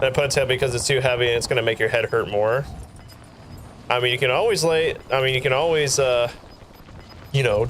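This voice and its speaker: With music in the background, a man with a medium pitch speaks at a fairly quick pace and very even loudness. He takes long, frequent pauses. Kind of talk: casual live stream chat while gaming. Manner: animated.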